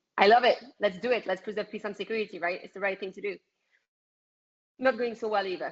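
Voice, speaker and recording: A woman's medium-pitched voice with a French accent, fairly even intonation, big swings in loudness, a very fast pace and long, frequent pauses. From France. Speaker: political activist. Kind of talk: interview.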